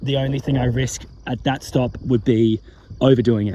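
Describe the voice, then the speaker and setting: Speaking with an Australian accent, a man uses a medium pitch and fairly even intonation. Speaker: ultramarathon runner, vlogger. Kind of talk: casual vlog commentary. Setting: outdoors at night on a roadside.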